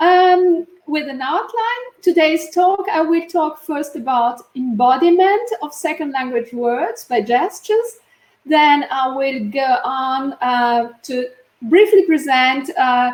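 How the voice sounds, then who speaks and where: Delivery is very slow, with an Italian accent. The intonation is lively. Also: woman, high pitch for a woman. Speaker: neuroscientist and linguist. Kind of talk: conference talk.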